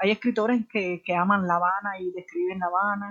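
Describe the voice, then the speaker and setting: A woman with a medium pitch speaks at a moderate pace, her pitch varying in an ordinary way. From Cuba, Havana (Alamar). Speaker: writer and photographer. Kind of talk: interview conversation. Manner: halting, many repetitions and fillers.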